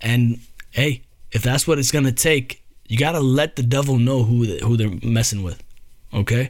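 Ordinary pitch variation comes with a moderate pace of speech. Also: man, medium pitch for a man. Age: 30s. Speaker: solo podcast host. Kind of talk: casual monologue. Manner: animated.

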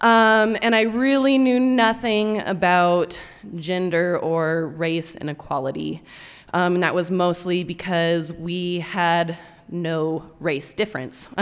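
With an American accent, a woman speaks at a very slow pace and medium pitch, and audible room echo surrounds her. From Colorado. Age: 20s. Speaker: storyteller. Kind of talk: live storytelling. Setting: stage with audience.

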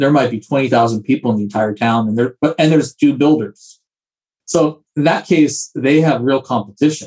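Male speech at a moderate pace with ordinary pitch variation, a plain, everyday voice. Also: medium pitch for a man. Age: 40s. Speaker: home builder, company co-founder. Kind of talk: casual interview.

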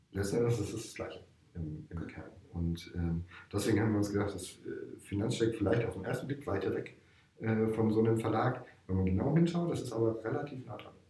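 With audible room echo and noticeable background noise, a man speaks at a fairly quick pace, his loudness swinging widely and his pitch varying in an ordinary way. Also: medium pitch for a man. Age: 40s. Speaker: startup investment manager and coach. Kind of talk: interview.

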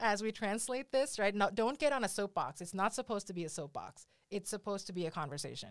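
Ordinary pitch variation marks this woman's medium-pitched, unremarkable speaking voice. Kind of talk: casual interview chat. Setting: studio.

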